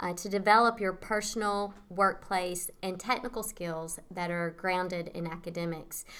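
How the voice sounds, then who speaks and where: A woman of medium pitch speaks with a Tennessee accent. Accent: Southern US (Tennessee). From US South, rural Tennessee. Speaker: nonprofit executive director. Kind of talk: interview. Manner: hesitant, many fillers.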